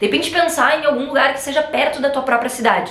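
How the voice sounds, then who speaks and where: A woman speaks in an animated tone with lively intonation, her voice carrying audible room echo over noticeable background noise. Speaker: travel content creator. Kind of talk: casual chat. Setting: sitting on a sofa at home. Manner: fast.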